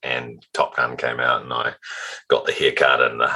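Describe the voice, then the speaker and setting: The voice belongs to a man. He speaks in a New Zealand accent. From New Zealand, Auckland North Shore. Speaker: automotive retail executive. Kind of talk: interview.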